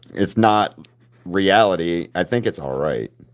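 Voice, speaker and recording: Speaking with a Southern US accent, a man talks at a fairly slow pace with lively intonation. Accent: Southern twang. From US South, Alabama. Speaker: artist livestreamer. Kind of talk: casual chat. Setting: live stream.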